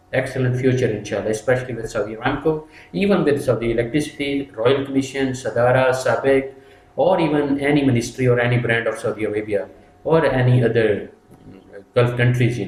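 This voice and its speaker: The man's voice is somewhat breathy and sits at a medium pitch, with ordinary pitch variation and a fairly quick pace. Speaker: safety trainer. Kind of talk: tutorial. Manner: fast.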